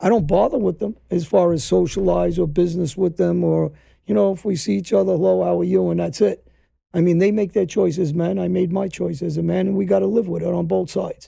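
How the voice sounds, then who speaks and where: A man in a New York accent at a fairly quick pace. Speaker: former mobster. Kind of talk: interview conversation.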